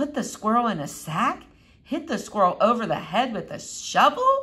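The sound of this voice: A woman puts on a squeaky, high-pitched character voice. She speaks at a moderate pace.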